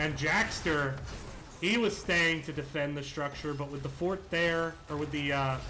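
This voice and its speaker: A man's fairly high voice with an American accent and fairly even intonation, over noticeable background noise. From West Virginia. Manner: quick, fast speech.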